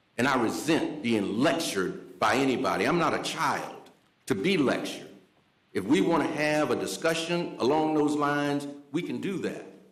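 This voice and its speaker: Audible room echo surrounds a man with an American accent whose fairly high voice moves at a moderate pace with lively intonation. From US South. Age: 60s. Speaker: city commissioner. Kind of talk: public meeting debate.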